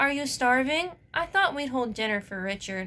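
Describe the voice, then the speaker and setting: Someone performs a put-on character voice with very wide pitch swings. The pace is moderate. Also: woman. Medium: read story.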